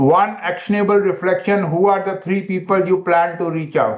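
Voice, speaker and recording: Audible room echo surrounds a man with a high pitch. He talks at a moderate pace with fairly even intonation. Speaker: medical educator. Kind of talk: webinar lecture.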